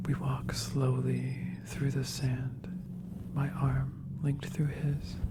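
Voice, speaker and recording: Noticeable background noise sits behind a soft-spoken voice. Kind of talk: soft-spoken ASMR story reading. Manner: soft-spoken, slow.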